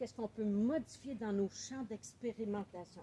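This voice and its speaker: A woman with a Quebec accent speaks at a fairly slow pace with ordinary pitch variation. Her pitch is fairly high, and her tone is dark and mellow. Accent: Québécois French. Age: 60s. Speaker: author and book coach. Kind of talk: welcome speech. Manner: animated.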